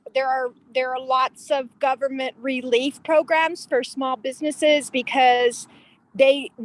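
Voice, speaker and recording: A woman with an American accent, high-pitched and monotone, at a fairly slow pace, in a dry, close sound with no echo. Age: 60s. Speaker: hospitality business owner. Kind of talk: online meeting introduction. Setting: outdoors by a pond on video call. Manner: halting.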